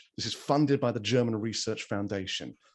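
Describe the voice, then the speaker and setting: A man speaks with an English accent at a medium pitch. His intonation is lively. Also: very clean recording, silent background. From England. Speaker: event host. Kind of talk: event introductions.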